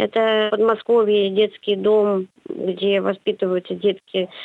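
With a normal speaking voice, a woman talks at a fairly slow pace, at medium pitch and with fairly even intonation. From St Petersburg, Russia. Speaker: psychologist and university lecturer. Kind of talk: radio interview. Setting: phone call.

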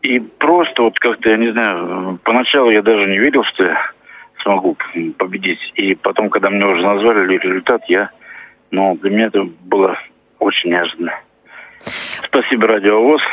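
Over music in the background, a man speaks at a fairly low pitch and a moderate pace, with ordinary pitch variation, very even loudness and long, frequent pauses. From Russia, Voronezh. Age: 50s. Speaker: visually impaired poet and masseur. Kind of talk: phone interview. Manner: halting, many hesitations.

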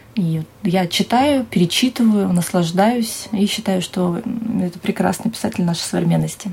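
A woman's medium-pitched voice, with ordinary pitch variation and a moderate pace, sits in noticeable background noise. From Siberia, Russia (Tara, Omsk region). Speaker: TV journalist and presenter. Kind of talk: interview. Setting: TV channel office.

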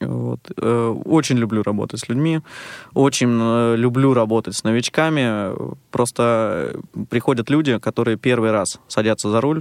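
A man uses an ordinary speaking voice of medium pitch with ordinary pitch variation, talking at a fairly slow pace in a dry, close sound with no echo. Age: 30s. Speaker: blind karting instructor and massage therapist. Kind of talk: radio interview. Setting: radio studio.

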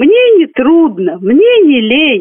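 Speaking at a very slow pace, the woman has an extremely high pitch. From Moscow Oblast, Russia. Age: 30s. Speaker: amateur poet. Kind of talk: poetry reading.

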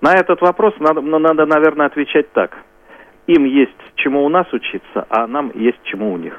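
The man has an unremarkable speaking voice with a fairly high pitch. He talks at a moderate pace with lively intonation. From Smolensk region, Russia. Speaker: regional head of a society for the blind. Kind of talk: live radio interview.

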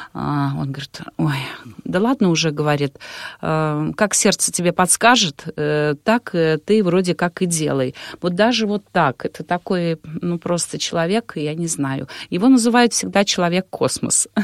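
A woman's fairly low-pitched, normal speaking voice, a normal speaking voice with lively intonation and a fairly slow pace, in a dry, close recording with no echo. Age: middle-aged. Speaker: wedding and event host. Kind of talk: interview.

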